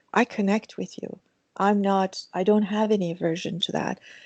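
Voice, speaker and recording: Speaking at a moderate pace with a Persian accent, a woman has a dark, mellow tone at a medium pitch and fairly even intonation. The sound is dry and close with no echo, over a quiet background. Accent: Persian (Iranian) accent in English. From Iran. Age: 60s. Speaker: mindfulness teacher. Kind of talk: interview.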